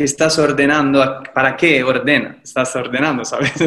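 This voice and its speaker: This voice has a bright, sharp tone and fairly even intonation. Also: man. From Italy, Livorno (Tuscany). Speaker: painter and actor. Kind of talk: casual interview.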